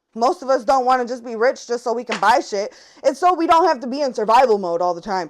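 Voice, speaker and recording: Shouting loudly, a woman talks at a very fast pace in an animated tone. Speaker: tarot reader. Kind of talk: tarot reading monologue. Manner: loud, yelling.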